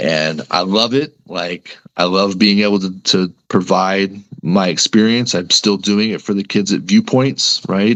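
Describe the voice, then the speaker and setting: A man's fairly low voice, an ordinary speaking voice, with ordinary pitch variation, a fairly slow pace and an American accent. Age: 40s. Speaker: sports reporter. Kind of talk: podcast interview. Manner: casual, conversational with frequent 'right?' tags.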